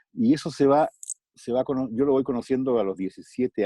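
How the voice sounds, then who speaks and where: A dark, mellow tone at a moderate pace, recorded dry and close with no echo. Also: man. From Chile. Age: 50s. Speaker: voice actor. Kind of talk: interview answer.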